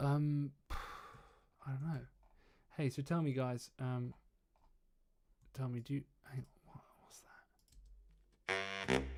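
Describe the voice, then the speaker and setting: In an English accent, a man talks at a very slow pace with a medium pitch, a monotone, flat intonation, big swings in loudness, and long, frequent pauses. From England. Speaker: trumpeter and mixing engineer streaming. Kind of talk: casual livestream chat. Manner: hesitant, many fillers.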